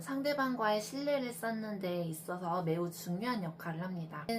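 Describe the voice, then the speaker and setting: Over noticeable background noise, a woman speaks fairly slowly. Her medium-pitched voice has lively intonation. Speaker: traditional clothing dyer and maker. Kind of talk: talk giving advice.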